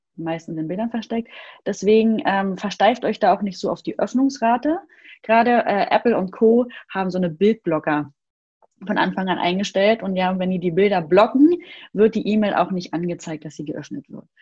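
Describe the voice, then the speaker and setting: With lively intonation and a somewhat breathy, medium-pitched voice, a woman speaks at a moderate pace while her loudness swings widely. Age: 30s. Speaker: email marketing expert. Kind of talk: casual interview.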